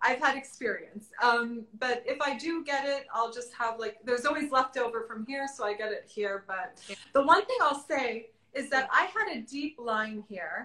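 A woman with an American accent projects a raised voice at a high pitch, her tone bright and sharp, moving at a moderate pace with ordinary pitch variation. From South Florida suburbs. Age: 30s. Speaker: fashion influencer. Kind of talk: casual chat. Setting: live stream from home.

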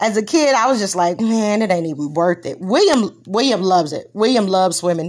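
Speaking at a fairly quick pace in a Texas accent, a woman uses lively intonation at a medium pitch, on a very clean recording with a silent background. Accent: Texas Southern. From Texas, Corpus Christi. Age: 40s. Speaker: podcast host. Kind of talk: casual chat.

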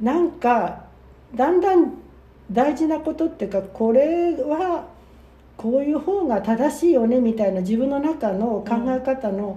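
A woman's high voice with very wide pitch swings, at a fairly slow pace, over background music. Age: 70s. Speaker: podcast co-host, worker at a same-sex partner matchmaking agency. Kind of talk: casual chat.

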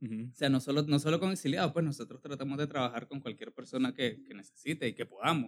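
The speech runs at a very fast pace with hardly any pauses. Pitch moves in an ordinary way. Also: man, fairly high pitch for a man. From Nicaragua. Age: 20s. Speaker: audiovisual producer. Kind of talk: casual chat.

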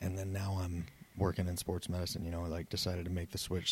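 Monotone and flat in intonation, the voice has a dark, mellow tone and an American accent, captured in a very clean recording with a silent background. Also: man. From Southeast Wyoming / Northwest Colorado. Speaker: head athletic trainer. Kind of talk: casual chat. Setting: office.

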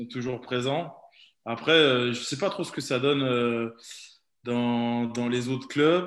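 A man with a medium pitch talks at a very slow pace, using ordinary pitch variation and long, frequent pauses. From Burgundy / Nièvre, France (Neuvy-sur-Loire). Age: 20s. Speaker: professional rugby player. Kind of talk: interview.

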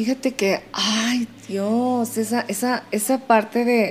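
Here a woman is talking. Her intonation stays monotone and flat. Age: 40s. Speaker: podcast host. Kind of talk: casual interview chat.

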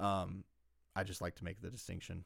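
Speaking at a fairly quick pace with a Southern US accent, a man keeps a fairly low pitch in a very clean recording with a silent background. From US South, South Carolina. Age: 20s. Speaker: podcast host. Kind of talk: casual chat.

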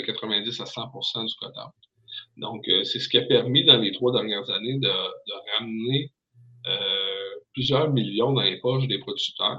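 Speaking very slowly, a man talks with a Quebec accent. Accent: Québécois French. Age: 30s. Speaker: pig farmer. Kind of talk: casual chat. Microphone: hotel internet connection, echo.

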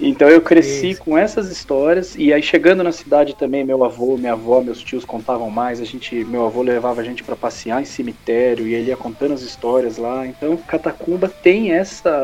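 A man speaks at a fairly quick pace with hardly any pauses, his medium pitch showing ordinary variation over noticeable background noise. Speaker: comic book author. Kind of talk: casual chat.

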